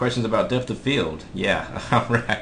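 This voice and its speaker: Audible room echo surrounds a man's voice. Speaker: software instructor. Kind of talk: live webinar tutorial. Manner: fast.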